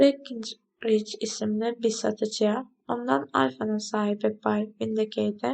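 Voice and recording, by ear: Natural-voiced reading aloud fills the clip. Behind it, all is quiet.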